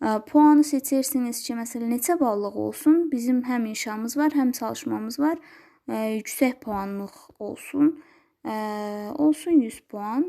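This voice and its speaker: A high-pitched woman at a fairly slow pace with ordinary pitch variation, in a very clean recording with a silent background. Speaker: schoolteacher. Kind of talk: tutorial. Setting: screen recording. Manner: halting.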